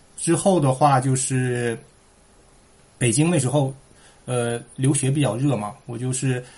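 Speaking at a medium pitch, this man has a dark, mellow tone that is somewhat breathy, with fairly even intonation. His pace is fairly slow, with long, frequent pauses. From Heilongjiang, northeast China (Shuangyashan). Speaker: immigrant entrepreneur. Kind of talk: casual interview chat.

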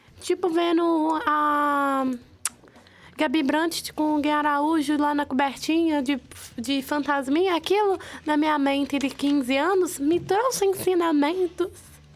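A woman's high pitch at a very slow pace, with ordinary pitch variation and very even loudness. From interior of Minas Gerais, Brazil. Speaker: university student, roundtable panelist. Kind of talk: casual roundtable chat. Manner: animated.

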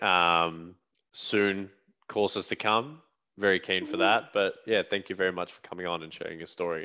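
Against a quiet background, a man with an Australian accent and a very deep, low pitch speaks at a fairly quick pace in a bright, sharp tone. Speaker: podcast host. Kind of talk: interview.

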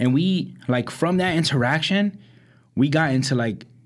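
A man speaks in a New York accent at a moderate pace. His intonation is lively, and the recording is very clean with a silent background. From Brooklyn, New York. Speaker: podcast co-host. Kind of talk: casual chat.

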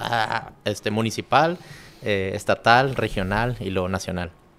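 A man speaks at a fairly slow pace in a normal speaking voice, his pitch fairly low with ordinary pitch variation. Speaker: podcast host. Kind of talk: casual interview. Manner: casual, slangy.

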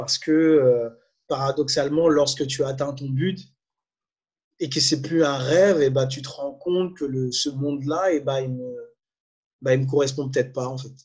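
Fairly slow, somewhat breathy male speech. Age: 30s. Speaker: coach and former musician. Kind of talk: interview. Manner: animated.

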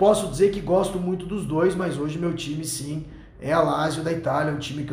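This man talks at a moderate pace with fairly even intonation. Noticeable background noise and audible room echo fill the recording. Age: 30s. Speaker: podcast host. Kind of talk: casual chat.

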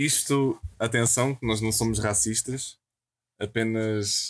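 A man talks with a medium pitch and ordinary pitch variation. He has an ordinary speaking voice. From Portugal, Amadora (Lisbon area). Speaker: podcast guest. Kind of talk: casual chat.

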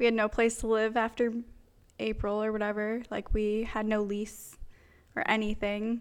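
On a very clean recording with a silent background, a woman speaks at a moderate pace. Her fairly high voice has a monotone, flat intonation. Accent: American. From Pennsylvania. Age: 20s. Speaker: podcast host, photographer. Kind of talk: casual chat.

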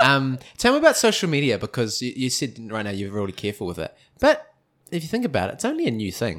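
The recording is very clean with a silent background. A man with a New Zealand accent talks at a very fast pace. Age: 20s. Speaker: podcast host. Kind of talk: casual chat.

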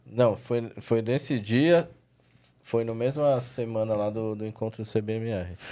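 In a São Paulo accent, a man speaks very slowly at medium pitch. His tone is dark and mellow, with ordinary pitch variation. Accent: São Paulo Brazilian Portuguese. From São Paulo, Zona Norte, Brazil. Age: 40s. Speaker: dog trainer. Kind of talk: casual chat.

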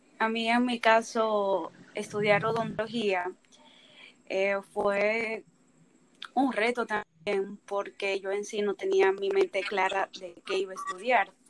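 A woman's medium-pitched voice, monotone and flat, at a very slow pace. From Dominican Republic. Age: 20s. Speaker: dental student, podcast co-host. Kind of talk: casual chat.

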